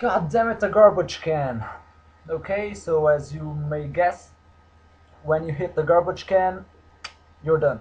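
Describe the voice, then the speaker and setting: Fairly slow speech from a man with a Portuguese accent, fairly high in pitch, with ordinary pitch variation, long, frequent pauses and noticeable background noise. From Portugal. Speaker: gaming YouTuber. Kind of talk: game review with commentary. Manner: animated.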